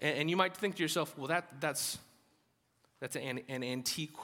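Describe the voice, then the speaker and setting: On a very clean recording with a silent background, a man with a slight Southern US accent speaks at a fairly high pitch for a man, with ordinary pitch variation and a bright, sharp tone. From US South, Alabama. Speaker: pastor. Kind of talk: sermon. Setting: church. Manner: halting, conversational.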